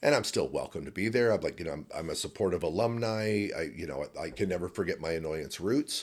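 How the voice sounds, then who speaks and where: A man with a Chicago accent, fairly low in pitch and lively in intonation, very fast with hardly any pauses, on a very clean recording with a silent background. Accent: American, Chicago area. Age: 60s. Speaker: improv performer and teacher. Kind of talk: casual interview chat. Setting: improv festival.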